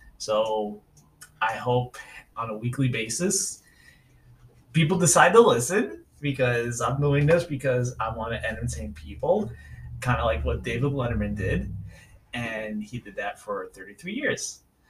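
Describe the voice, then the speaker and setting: The speaker has a New York accent and talks at a fairly slow pace. Long pauses come often. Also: man. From New York City, Staten Island. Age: 40s. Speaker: podcast host. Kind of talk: solo podcast monologue. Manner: casual, hesitant with fillers.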